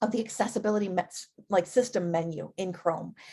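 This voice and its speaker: A woman speaks with a medium pitch and fairly even intonation at a fairly quick pace. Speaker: edtech presenter for teachers. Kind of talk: live webinar presentation. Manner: fast.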